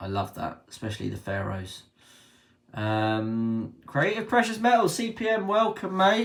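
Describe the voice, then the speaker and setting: At a fairly slow pace, a man speaks with a British accent. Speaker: precious metals livestreamer. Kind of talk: live stream chat.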